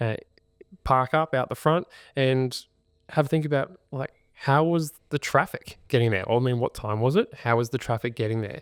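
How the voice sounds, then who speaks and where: In a dry, close recording with no echo and a silent background, a man with an Australian accent speaks with ordinary pitch variation. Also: medium pitch for a man, moderate pace. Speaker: podcast host, buyer's agent. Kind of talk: podcast tutorial chat. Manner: volume toned down.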